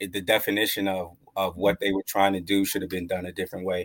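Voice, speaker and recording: A man with fairly low pitch speaks at a fairly quick pace, with a dry, close sound and no echo. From Long Island, New York. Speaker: cannabis activist. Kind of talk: interview.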